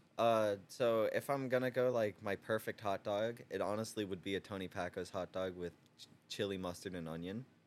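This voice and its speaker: Using a normal speaking voice, a man talks fairly quickly at a fairly low pitch with ordinary pitch variation. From US Midwest/South (Toledo, Ohio and Louisville, Kentucky). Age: 20s. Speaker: door maker. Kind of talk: casual chat.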